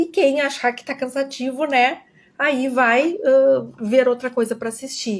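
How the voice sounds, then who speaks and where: A woman with a high pitch speaks at a fairly slow pace with ordinary pitch variation. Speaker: educator. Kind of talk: online lecture.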